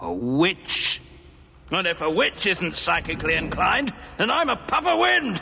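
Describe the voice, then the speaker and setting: Someone speaks at a moderate pace in a cartoonish character voice. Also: man, high pitch for a man. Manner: musing, self-assured.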